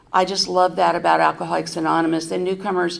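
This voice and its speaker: Audible room echo hangs around this voice. A woman talks at a fairly low pitch. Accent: American. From US West Coast, San Francisco Bay Area. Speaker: recovery convention speaker. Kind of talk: recovery testimony. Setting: stage at a podium with audience. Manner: conversational with many fillers.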